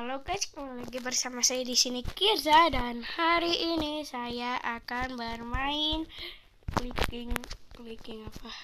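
A woman's raised, projected voice at a high pitch, fairly slow, with big swings in loudness, ordinary pitch variation and noticeable background noise. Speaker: gaming YouTuber. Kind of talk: gameplay commentary. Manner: casual, rambling.

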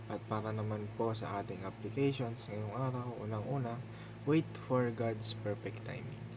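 Monotone, flat speech at a fairly slow pace over noticeable background noise. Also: man, medium pitch for a man. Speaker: devotional speaker. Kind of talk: devotional teaching, ending in a prayer; fervent prayer, earnest and reverent. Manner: humble, polite, respectful; sincere, earnest, heartfelt in the prayer.

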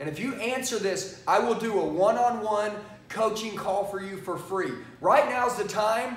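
A man's high-pitched voice, with ordinary pitch variation, carries audible room echo. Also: moderate pace. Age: 40s. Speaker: sales trainer. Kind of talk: sales pitch. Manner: animated. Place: studio. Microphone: lapel.

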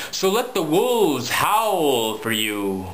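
Very slow and theatrically playful, a man's voice makes very wide swings in pitch. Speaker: poet. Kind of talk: spoken word poetry, dark macabre Halloween poem. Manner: theatrical, rhythmic, playful-sinister. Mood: dark, playful Halloween tone.

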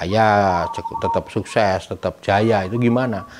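A man talks while noticeable background noise runs underneath. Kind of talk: interview answer. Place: home room.

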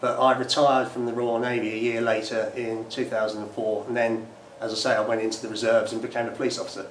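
Over light background noise, a man's voice carries audible room echo. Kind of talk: interview answer. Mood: calm, reflective. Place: empty room.

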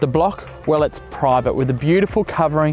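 With faint music in the background, a man speaks in a dry sound with no echo. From Australia. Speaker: real estate agent. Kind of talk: property listing presentation to camera. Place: open country. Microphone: lapel.

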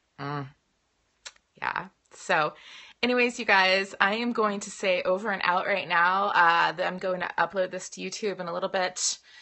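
A woman speaks with fairly even intonation, and the background is quiet. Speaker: direct sales team leader. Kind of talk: training talk. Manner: fast. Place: home room. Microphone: phone near.

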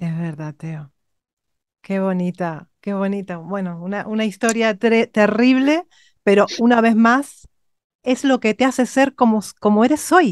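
Fairly high-pitched woman's voice with lively intonation at a fairly slow pace, in a dry, close sound with no echo. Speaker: vocal coach. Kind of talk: interview. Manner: animated.

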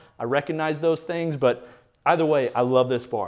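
A man with a Midwestern American accent speaks at a fairly high pitch. His pitch varies in an ordinary way over a quiet background. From US Midwest. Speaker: fitness equipment reviewer. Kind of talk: casual video review. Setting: home garage gym. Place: garage.

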